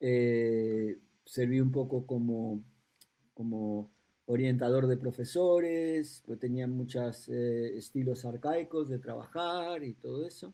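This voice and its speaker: Speaking very slowly with a Uruguayan accent, a man uses a dark, mellow, medium-pitched voice with ordinary pitch variation. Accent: Uruguayan Spanish, regained after return. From raised between Madrid and New York, Uruguayan-born. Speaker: educational psychologist, school director. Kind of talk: podcast interview. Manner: halting, many fillers.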